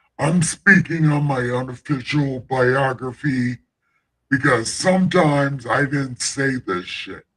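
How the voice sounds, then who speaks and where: A man's put-on character voice, pitched fairly high, at a fairly slow pace. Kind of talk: irreverent, crude. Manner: booming, grandiose.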